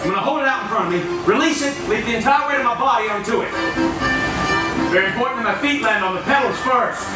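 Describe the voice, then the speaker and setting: A man talks at a very fast pace with long, frequent pauses. Loud music plays in the background, and room echo is audible. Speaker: street performer, juggler and unicyclist. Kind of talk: live stage performance to a crowd. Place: stage.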